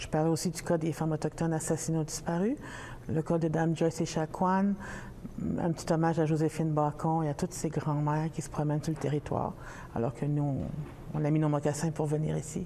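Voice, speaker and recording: A woman's fairly quick, monotone delivery with flat intonation at a very deep, low pitch. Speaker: poet. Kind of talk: interview. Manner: hesitant.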